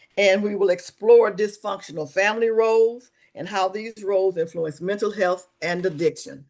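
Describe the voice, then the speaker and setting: A woman speaks with a Mississippi accent at a moderate pace. Her pitch is medium, with ordinary variation. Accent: US Southern (Mississippi). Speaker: webinar host, social service coordinator. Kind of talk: webinar presentation. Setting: online webinar.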